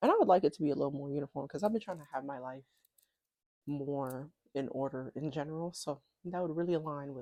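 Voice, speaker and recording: The voice mumbles at a very fast pace yet with long, frequent pauses, with a dark, mellow tone and big swings in loudness, all dry and close with no echo. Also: woman, quiet background. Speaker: vlogger. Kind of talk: casual vlog monologue. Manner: tends to mumble, talks under breath; rambling, chatty.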